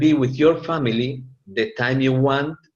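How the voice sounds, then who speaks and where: A man with a Latin American accent speaks at medium pitch. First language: Spanish. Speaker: network marketing presenter. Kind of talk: business opportunity presentation. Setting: live meeting with audience. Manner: halting.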